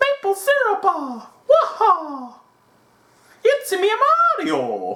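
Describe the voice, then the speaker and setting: This is a put-on character voice at an extremely high pitch. It moves at a very slow pace, with long, frequent pauses. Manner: cartoonish, playful imitation.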